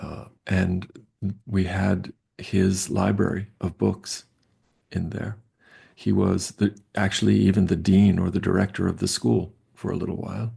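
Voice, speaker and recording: With an American accent and vocal fry, a man with a very deep, low pitch and a dark, mellow tone speaks at a fairly slow pace with long, frequent pauses and fairly even intonation. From US Northeast, Long Island, New York. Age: 60s. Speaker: professor. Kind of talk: interview. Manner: halting.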